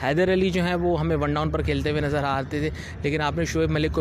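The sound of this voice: A man at a fast pace, with fairly even intonation over clear background noise.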